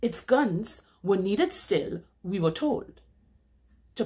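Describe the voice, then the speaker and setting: Over a quiet background, a woman speaks at a very slow pace in a dramatic, solemn tone. Her pitch swings very widely. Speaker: poetry reader. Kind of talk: spoken word poetry reading of a protest poem. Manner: measured, declamatory cadence with dramatic emphasis; solemn and accusatory, building rhetorical intensity. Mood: indignant, impassioned. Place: home room. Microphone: webcam.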